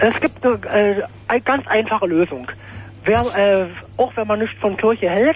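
A moderate pace over noticeable background noise. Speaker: radio caller. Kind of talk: phone-in debate. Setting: phone call.

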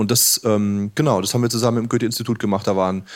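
The speaker is a man with a medium-pitched voice. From southern Germany. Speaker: game developer. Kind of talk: casual chat. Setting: live radio studio with audience.

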